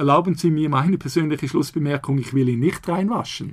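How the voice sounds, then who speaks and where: Somewhat breathy, the man's voice sits at a fairly high pitch. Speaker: law professor. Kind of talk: interview.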